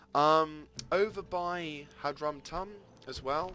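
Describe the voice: A man talks at a slow pace with a fairly high pitch and a bright, sharp tone. His pitch varies in an ordinary way.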